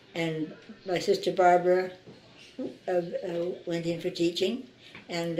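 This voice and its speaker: Here a woman with a Canadian accent speaks at a fairly slow pace in a fairly low pitch. Noticeable background noise runs behind her. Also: long, frequent pauses. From Saskatchewan, Canada. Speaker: local resident interviewee. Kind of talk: oral history interview. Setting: interviewee's home.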